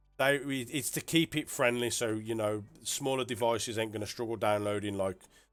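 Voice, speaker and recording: A man with a British accent, medium pitch, ordinary pitch variation and a fairly quick pace, on a very clean recording with a silent background. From UK. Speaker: game add-on developer and streamer. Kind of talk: livestream showcase. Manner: casual, hesitant with fillers.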